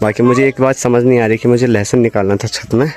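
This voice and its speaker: A man's voice sits at medium pitch, moving at a moderate pace with fairly even intonation. Music can be heard in the background. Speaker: college student. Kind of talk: casual village vlog talk to camera.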